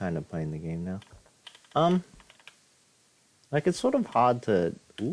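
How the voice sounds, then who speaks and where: With noticeable background noise, a man speaks at a moderate pace, his pitch swinging very widely between long, frequent pauses. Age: 20s. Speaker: gaming streamer. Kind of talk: let's play commentary. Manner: halting.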